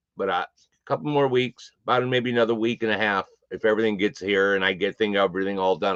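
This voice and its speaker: With a fairly quick pace and a fairly low pitch, a man speaks in an American accent, recorded with a dry, close sound with no echo and a quiet background. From Connecticut. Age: 60s. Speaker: live streamer. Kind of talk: casual chat. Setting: live stream from home room.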